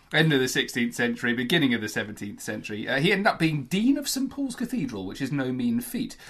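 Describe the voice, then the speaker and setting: Over a quiet background, a man talks at a fairly quick pace with lively intonation in an unremarkable speaking voice. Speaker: podcast co-host.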